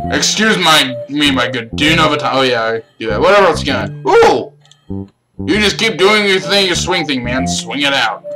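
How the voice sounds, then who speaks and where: A man with very wide pitch swings at a moderate pace, music playing behind him. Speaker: gaming youtuber. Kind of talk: let's play commentary. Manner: casual, halting.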